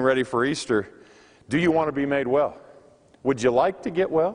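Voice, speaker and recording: Using a normal speaking voice, a man talks fairly quickly at a fairly high pitch with ordinary pitch variation. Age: 40s. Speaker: pastor. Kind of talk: sermon. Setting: chapel service.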